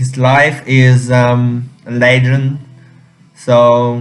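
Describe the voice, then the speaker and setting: A man with a Chinese accent at medium pitch in a monotone, flat intonation, with music in the background. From China. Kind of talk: casual talk to camera. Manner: hesitant, many fillers.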